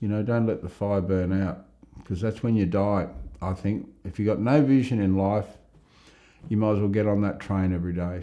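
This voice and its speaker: With fairly even intonation, a man speaks at a moderate pace in a fairly low pitch. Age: 60s. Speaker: life story interviewee. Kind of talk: interview. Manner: reflective, with hesitations and repetitions.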